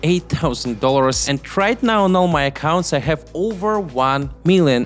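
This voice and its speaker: Music plays behind the speaker. A man with a non-native accent talks at a fairly high pitch. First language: not English. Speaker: YouTube entrepreneur. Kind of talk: talk to camera about making money online.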